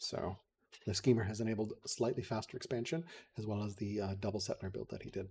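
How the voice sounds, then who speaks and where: A man with an American accent talks at a very fast pace, his fairly low voice dark, mellow and somewhat breathy, with ordinary pitch variation. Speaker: game commentator. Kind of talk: live commentary.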